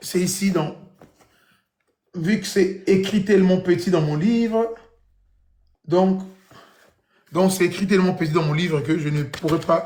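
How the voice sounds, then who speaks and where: A man's high-pitched voice at a fairly slow pace, with fairly even intonation, long and frequent pauses, and audible room echo. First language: Kikongo (speaking French). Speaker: YouTube speaker on Congolese history and religion. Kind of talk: lecture with reading aloud.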